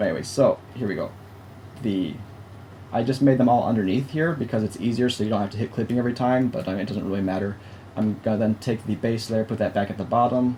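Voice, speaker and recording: Speaking at a very fast pace, a man has a medium pitch and ordinary pitch variation. His voice is somewhat breathy, with a dark, mellow tone. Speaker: digital art instructor. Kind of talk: tutorial. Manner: halting.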